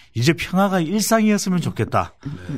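A man speaks at a moderate pace. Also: very clean recording, silent background. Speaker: polling analyst. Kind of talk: political talk show discussion.

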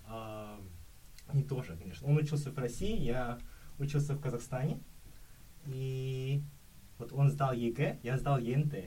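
Amid audible room echo, a man with a medium-pitched, somewhat breathy voice and a dark, mellow tone speaks fairly slowly with ordinary pitch variation and long, frequent pauses. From Kazakhstan. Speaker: exchange student. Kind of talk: casual chat.

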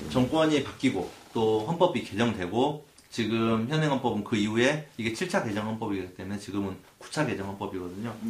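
A man talks at a moderate pace and medium pitch with lively intonation. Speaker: lawyer and podcast co-host. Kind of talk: explanatory legal discussion. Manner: cautious.

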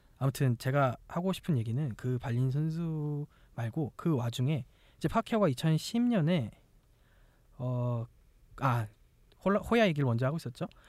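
With lively intonation and a fairly high pitch, a man speaks at a fairly slow pace with long, frequent pauses on a very clean recording with a silent background. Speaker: podcast host. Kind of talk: casual chat.

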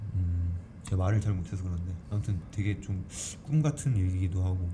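Over noticeable background noise, a man with a very deep, low voice talks at a moderate pace with ordinary pitch variation. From Jeju Island, South Korea. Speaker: stage actor. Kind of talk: interview. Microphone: single shared mic, recorded too quiet.

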